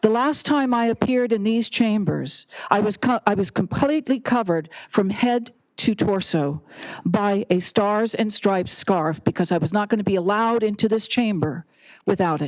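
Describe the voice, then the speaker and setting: Recorded dry and close with no echo, a woman talks in an unremarkable speaking voice at medium pitch and a moderate pace, her intonation lively and her loudness very even. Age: 60s. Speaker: public commenter. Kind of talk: public comment speech. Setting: city council chamber.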